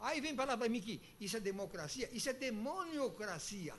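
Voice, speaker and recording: An animated man speaks at a moderate pace with lively intonation. His pitch is high. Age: 80s+. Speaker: retired citizen speaking at public hearing. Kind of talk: public hearing complaint. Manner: animated, insistent.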